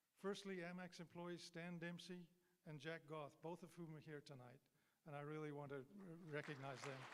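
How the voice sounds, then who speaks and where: A man with a fairly high pitch at a moderate pace, crowd noise in the background. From England. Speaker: mining executive, hall of fame inductee. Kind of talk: acceptance speech. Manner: formal.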